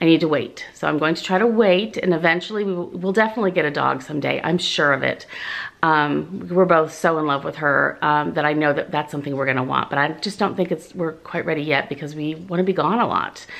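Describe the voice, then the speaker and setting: A very fast pace with hardly any pauses and ordinary pitch variation. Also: woman, very deep, low pitch for a woman. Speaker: vlogger. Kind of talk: casual vlog chat. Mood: cheerful, excited. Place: home room. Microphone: phone near.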